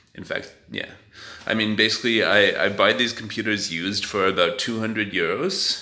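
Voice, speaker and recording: Moderately paced male speech with audible echo from the room. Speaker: vlogger. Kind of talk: casual vlog talk. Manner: hesitant, filler-heavy.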